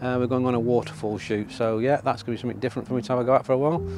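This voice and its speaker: Clear music plays in the background as a man talks at a very fast pace, the sound dry with no echo. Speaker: photography vlogger. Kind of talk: casual vlog chat. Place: waterside.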